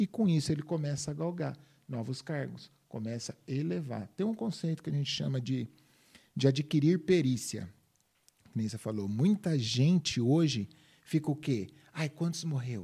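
A man speaks at a moderate pace in a fairly high pitch with lively intonation. His tone is dark and mellow and somewhat breathy. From Minas Gerais, Brazil; raised in São Paulo state from age 10. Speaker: personal development speaker. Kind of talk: interview conversation.

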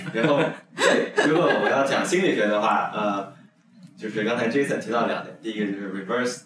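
Over noticeable background noise, a man talks at a moderate pace and fairly low pitch with ordinary pitch variation. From Yunnan, China. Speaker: podcast co-host, PhD student. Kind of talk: casual chat.

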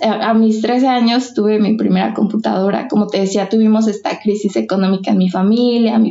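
A woman with a fairly high pitch and ordinary pitch variation speaks in an ordinary speaking voice. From Mexico, Michoacán. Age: 20s. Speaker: literature graduate writing thesis. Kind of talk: personal testimony in casual interview.

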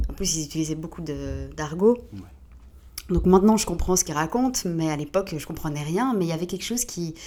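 A woman's dark, mellow tone with vocal fry, fairly low pitch, ordinary pitch variation, and a fairly quick pace. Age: 30s. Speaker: DJ. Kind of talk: casual chat.

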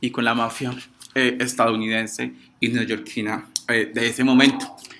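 This male speaker keeps a moderate pace while noticeable background noise runs beneath him. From Colombia, Pereira area. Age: 20s. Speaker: law student and activist. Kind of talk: reflective talk / explainer.

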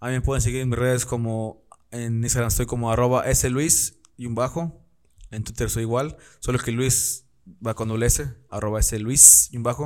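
A man speaks in an unremarkable speaking voice at a moderate pace. His medium pitch stays in fairly even intonation. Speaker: podcast host. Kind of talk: casual chat. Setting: studio with camera. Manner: casual, laughing often.

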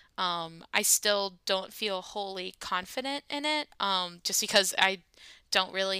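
A woman with an American accent speaks fairly slowly at a medium pitch in a bright, sharp tone, in a dry, close sound with no echo and a very clean recording with a silent background. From grew up in several countries outside the US. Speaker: podcast co-host, theater artist. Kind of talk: casual chat.

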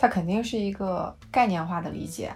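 A woman's somewhat breathy voice in a calm tone, with ordinary pitch variation and audible room echo. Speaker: podcast co-host. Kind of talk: casual chat. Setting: voice call. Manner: calm, even pace.

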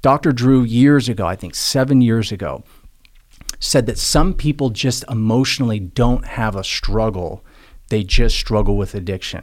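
A man with an ordinary speaking voice talks at a medium pitch. His pace is moderate and his pitch variation ordinary. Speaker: motivational speaker and addiction recovery advocate. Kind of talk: casual interview conversation.

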